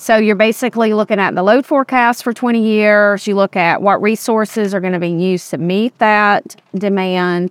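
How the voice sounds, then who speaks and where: A woman's medium-pitched voice in a Southern US accent, with ordinary pitch variation and hardly any pauses, on a very clean, dry, close recording with no echo and a silent background. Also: moderate pace. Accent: Southern US (Georgia). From West Georgia, US South. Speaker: state utility regulator staff director. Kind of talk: interview conversation. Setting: outdoors on a rooftop.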